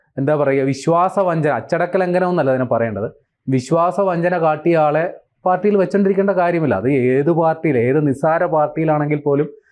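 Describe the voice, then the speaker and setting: A man with an unremarkable speaking voice talks at a fairly high pitch with ordinary pitch variation and very even loudness. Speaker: political commentator. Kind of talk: casual chat.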